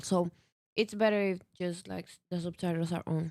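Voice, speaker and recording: Recorded very cleanly against a silent background, dry and close with no echo, a woman with a non-native accent speaks at a moderate pace in a dark, mellow tone with fairly even intonation. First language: not English. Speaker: co-host. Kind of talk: casual chat.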